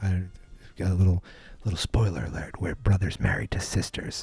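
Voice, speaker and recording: A man speaks against music in the background, the sound dry with no echo. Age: 40s. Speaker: podcast host. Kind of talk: casual monologue. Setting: home studio. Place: studio.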